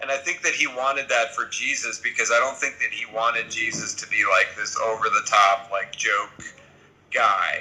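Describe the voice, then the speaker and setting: A man keeps a moderate pace while noticeable background noise carries on. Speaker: TV comedy writer and showrunner. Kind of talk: interview. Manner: deadpan; casual, lots of fillers.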